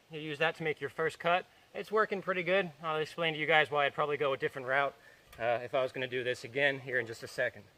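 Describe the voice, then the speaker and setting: A man talks at a very fast pace with a fairly high pitch and a bright, sharp tone. His pitch variation is ordinary, and the sound is dry and close with no echo. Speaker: homesteader, DIY tutorial maker. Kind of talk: tutorial. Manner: loud, yelling over equipment noise; casual, with fillers.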